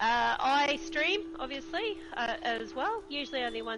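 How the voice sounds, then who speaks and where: A woman speaks with an Australian accent. There is noticeable background noise. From Australia, Queensland. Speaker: gaming streamer. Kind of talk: interview.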